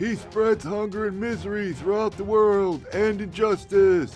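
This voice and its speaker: Over clear background music, a man does a put-on character voice at a high pitch, moderate pace and fairly even intonation. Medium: solo performance. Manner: solemn, portentous.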